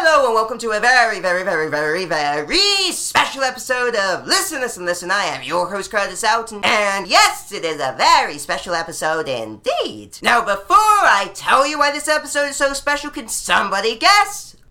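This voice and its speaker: A fairly high-pitched woman, fairly quick pace, very wide pitch swings and hardly any pauses, with music in the background. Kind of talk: over-the-top game show host parody, played for laughs with crowd interaction. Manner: playful and theatrical, pausing for imagined audience guesses and applause.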